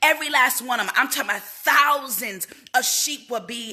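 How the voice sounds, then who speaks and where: A woman speaks in an animated tone. Noticeable background noise runs underneath. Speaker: motivational speaker. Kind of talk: livestream motivational talk. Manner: quieter than usual.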